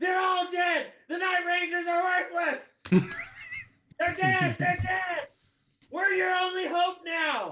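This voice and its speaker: A man shouts in a put-on character voice pitched extremely high, at a fairly slow pace. He leaves long, frequent pauses. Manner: shouting, urgent, desperate.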